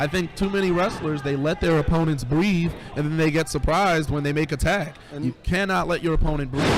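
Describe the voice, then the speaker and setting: A man's fairly high voice at a fairly quick pace, with fairly even intonation, over noticeable background noise. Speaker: wrestling commentator. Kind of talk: wrestling play-by-play commentary.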